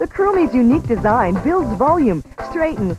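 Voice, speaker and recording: Clear music plays in the background as the voice moves at a moderate pace in a dry sound with no echo. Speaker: infomercial announcer. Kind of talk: advertising voice-over. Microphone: old recording.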